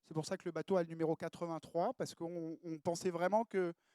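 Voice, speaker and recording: With a dark, mellow tone and a high pitch, a man talks at a fairly quick pace in a dry, close sound with no echo. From southern France (Mediterranean). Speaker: professional sailor. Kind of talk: conference talk. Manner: halting, many fillers.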